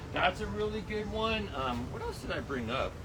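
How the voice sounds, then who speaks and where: A loud man speaks at a moderate pace with very wide pitch swings. Audible room echo and noticeable background noise surround his voice. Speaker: garden center expert. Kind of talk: tutorial. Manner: casual, hesitant with many fillers.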